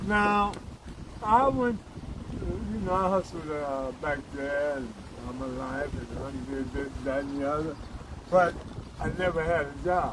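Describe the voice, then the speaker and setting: The speech is fairly slow, with long, frequent pauses and lively intonation, set against audible room echo and noticeable background noise. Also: man. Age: 70s. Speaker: former hustler turned truck driver. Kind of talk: life story interview.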